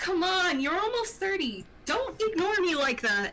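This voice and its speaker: Using a put-on character voice, a woman speaks at an extremely high pitch and a moderate pace. Clear background noise runs underneath. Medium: actual play.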